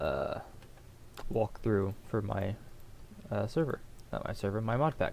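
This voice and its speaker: This is a man's voice at medium pitch. His tone is dark and mellow. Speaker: gaming youtuber. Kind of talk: game walkthrough. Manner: fast; halting.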